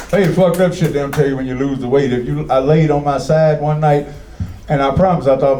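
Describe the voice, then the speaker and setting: This man talks at a very fast pace and a fairly high pitch. Audible room echo and noticeable background noise surround him. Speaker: comedy host of poetry night. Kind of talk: stand-up crowd work. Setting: stage with audience. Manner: animated.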